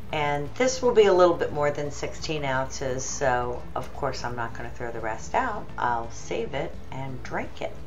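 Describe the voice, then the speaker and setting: At a fairly slow pace, a woman talks over light background noise. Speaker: home cooking vlogger. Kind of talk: casual tutorial chat. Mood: cheerful, relaxed. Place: kitchen. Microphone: phone near.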